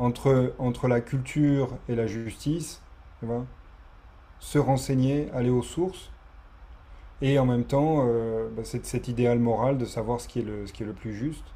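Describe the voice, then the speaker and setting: A man speaks at a fairly slow pace with long, frequent pauses and fairly even intonation. His tone is dark and mellow, and somewhat breathy. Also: medium pitch for a man. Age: 40s. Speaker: podcast host. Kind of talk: interview conversation.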